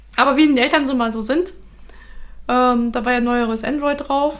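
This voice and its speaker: This woman's intonation is fairly even. Vocal fry runs through her voice. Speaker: software developer podcast co-host. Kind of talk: casual chat.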